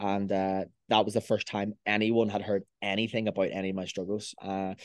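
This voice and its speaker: A man speaks very fast with a Belfast accent, his pitch fairly low and his intonation flat and monotone. The background is quiet, and the sound is dry and close with no echo. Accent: Belfast Northern Irish. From Northern Ireland, Belfast. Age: 20s. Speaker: online fitness coach. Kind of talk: casual chat.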